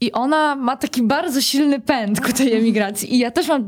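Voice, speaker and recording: A woman with a high voice talks at a moderate pace, her pitch varying in an ordinary way, while noticeable background noise carries on behind her. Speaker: writer and musician. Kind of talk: interview. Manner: halting.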